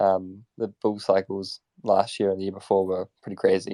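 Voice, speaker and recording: A man mumbles in a dark, mellow tone with a New Zealand accent. His pitch sits fairly low, and the sound is dry and close with no echo. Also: quiet background. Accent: New Zealand, self-described as terrible. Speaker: crypto startup operations lead, former software dev. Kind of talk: casual interview chat. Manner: mumbling, by own account; halting, many fillers.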